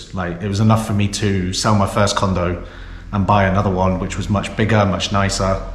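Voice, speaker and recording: Flat, monotone delivery in a British accent at a fairly quick pace, with audible room echo and noticeable background noise. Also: man, fairly low pitch for a man. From England (Lancaster, Oxford, Southampton). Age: 30s. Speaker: vlogger. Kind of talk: casual vlog monologue. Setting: office, filmed on GoPro.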